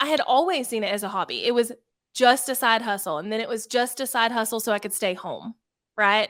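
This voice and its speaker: In a Southern US accent, a woman speaks at a fairly quick pace with a fairly high pitch, on a very clean recording with a silent background. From US South. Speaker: online entrepreneur and youtuber. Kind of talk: interview. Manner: casual, chatty.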